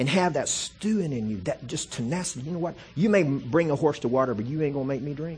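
Somewhat breathy and animated in tone, the speech races along at a very fast pace with hardly any pauses. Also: man, fairly high pitch for a man. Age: 40s. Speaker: guest preacher and missionary. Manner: emphatic, punchy preacher cadence with repetitions and colloquial asides; animated, rising intensity while building an argument.

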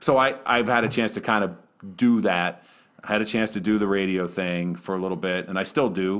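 A man with an American accent and a normal speaking voice talks at a fairly quick pace, his fairly low pitch showing ordinary variation. The recording is very clean, with a silent background. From Western Pennsylvania. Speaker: arena public address announcer. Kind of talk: casual interview.

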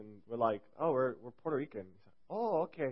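Fairly quick, a man talks in an unremarkable speaking voice at medium pitch. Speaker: youth speaker. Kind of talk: sermon. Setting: church gathering with audience. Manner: casual, joking.

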